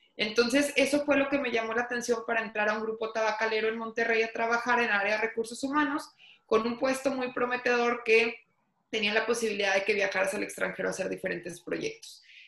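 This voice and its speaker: A woman with a fairly high pitch and fairly even intonation has a plain, everyday voice. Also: fairly quick pace. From Mexico, Torreón. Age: 30s. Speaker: entrepreneur. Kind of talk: interview.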